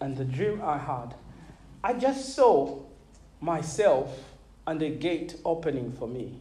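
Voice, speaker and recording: A fairly high-pitched man with lively intonation at a very slow pace, long, frequent pauses and audible room echo. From Zambia (Malawian family). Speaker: pastor. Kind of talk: sermon. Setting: church.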